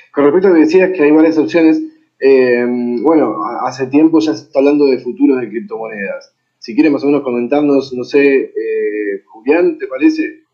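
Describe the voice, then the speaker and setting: Speaking in an Argentine accent, a man uses a fairly high pitch with ordinary pitch variation at a moderate pace. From Argentina. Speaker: panel moderator. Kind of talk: panel moderation.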